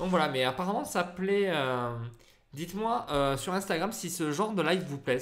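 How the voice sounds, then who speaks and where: The man's pitch swings very widely. He speaks at a moderate pace. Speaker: photographer and photography teacher. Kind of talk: live stream Q&A. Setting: live stream on Facebook and Instagram. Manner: hesitant, many fillers.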